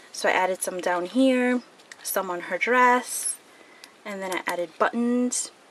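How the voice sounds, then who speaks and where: Ordinary pitch movement at a fairly slow pace, with noticeable noise behind. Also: woman. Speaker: crafting video creator. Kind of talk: tutorial.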